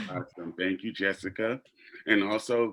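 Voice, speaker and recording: At a moderate pace, a man speaks in a monotone, flat intonation against a quiet background. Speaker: actor and theater educator. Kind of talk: panel discussion. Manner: halting, many fillers.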